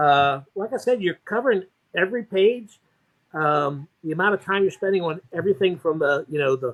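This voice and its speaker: Heard in a dry, close sound with no echo, a man speaks at a high pitch with lively intonation. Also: moderate pace. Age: 60s. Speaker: comic collector and YouTube reviewer. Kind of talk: casual chat. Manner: halting.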